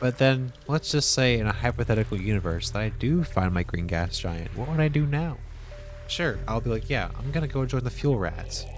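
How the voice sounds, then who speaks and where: Over music in the background, a man speaks at a moderate pace in a medium pitch with lively intonation. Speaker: video game streamer. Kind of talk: live gameplay stream chat. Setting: live stream. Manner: quiet ASMR-style whisper.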